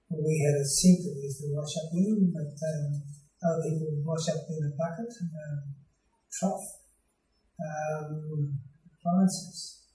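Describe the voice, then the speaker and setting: Over music in the background and with audible room echo, a man speaks at a fairly high pitch and a fairly slow pace, with fairly even intonation and long, frequent pauses. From Australia. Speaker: retired clergyman. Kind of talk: interview answer. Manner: hesitant, many filler sounds. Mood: calm, reminiscing. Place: home room.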